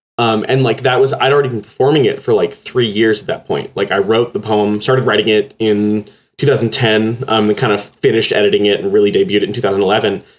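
With an American accent, a man talks at a fairly quick pace with hardly any pauses and fairly even intonation. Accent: slight Texas accent when very tired. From Texas. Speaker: poet. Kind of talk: interview. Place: home room. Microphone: earbuds.

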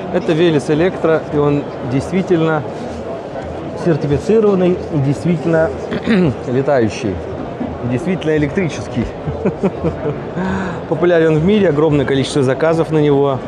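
Against noticeable background noise, a man talks at a moderate pace with ordinary pitch variation and long, frequent pauses. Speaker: aviation hobbyist vlogger. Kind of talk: casual vlog commentary. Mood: amused, enthusiastic. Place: hall. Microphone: phone near.

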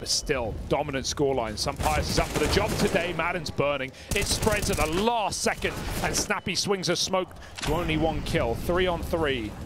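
A man's fairly high voice, animated and lively in intonation, with noticeable background noise. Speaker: esports caster. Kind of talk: live esports commentary. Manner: fast-paced, animated play-by-play.

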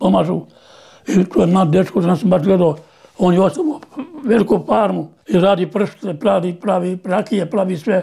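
Against a quiet background, a man with a high pitch speaks at a moderate pace, using ordinary pitch variation. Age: 80s+. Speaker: farmer and bull breeder. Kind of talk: interview answer. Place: home room. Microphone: lapel.

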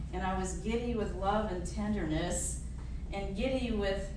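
A woman talks at a fairly slow pace. Audible room echo and noticeable background noise are present. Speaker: featured poet. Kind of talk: panel moderation and personal storytelling. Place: hall. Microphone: camera far.

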